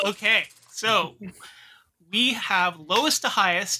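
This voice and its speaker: On a very clean recording with a silent background, a man with a bright, sharp tone uses a raised, projected voice. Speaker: podcast co-host. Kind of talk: casual chat.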